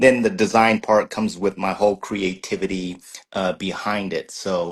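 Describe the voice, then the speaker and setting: With an American accent, a man speaks fairly slowly at a fairly low pitch in a flat monotone over a quiet background. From Southern California. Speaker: wood craftsman and programmer. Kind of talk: interview. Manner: halting, many fillers and repeats.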